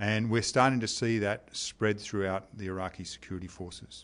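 Speaking at a moderate pace over a quiet background, a man with an Australian accent has a fairly low pitch. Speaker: army officer. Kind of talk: interview. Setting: deployed overseas military base. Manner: formal.

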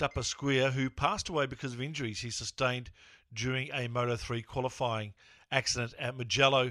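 A man with an Australian accent talks at a fairly quick pace in a bright, sharp tone. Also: very clean recording, silent background. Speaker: podcast host. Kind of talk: casual chat.

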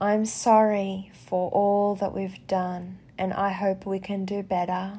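A woman's dark, mellow, calm and gentle tone in an Australian accent, monotone and flat, at a very slow pace. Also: medium pitch for a woman. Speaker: podcast host. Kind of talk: guided prayer, spoken reflection. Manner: gentle, soothing; slow, calm, tender.

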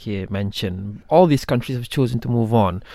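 A man with a dark, mellow tone and a fairly low pitch. He talks at a fairly quick pace. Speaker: TV news anchor. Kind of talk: radio panel discussion. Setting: radio studio.

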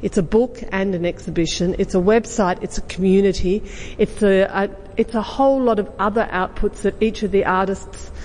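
A woman's medium-pitched voice with an Australian accent, at a moderate pace, over noticeable background noise. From Australia, Western District of Victoria. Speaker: exhibition curator. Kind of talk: panel talk.

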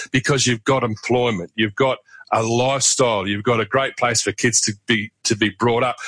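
Someone speaks at a fairly quick pace in a Southland accent. The pitch varies in an ordinary way. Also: man, dry, close sound with no echo. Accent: New Zealand, Southland. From New Zealand, Invercargill (Southland). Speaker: regional development leader and former roadhouse owner. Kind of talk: interview.

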